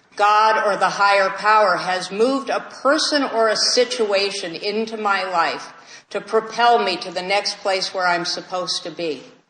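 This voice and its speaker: With an American accent, a woman of medium pitch speaks at a moderate pace with ordinary pitch variation over noticeable background noise. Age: 60s. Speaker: AA speaker. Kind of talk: recovery talk Q&A. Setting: meeting with audience.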